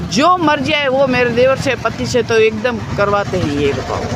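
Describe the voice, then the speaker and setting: A woman speaks over noticeable background noise. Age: 60s. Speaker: protester. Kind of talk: interview. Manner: emotional.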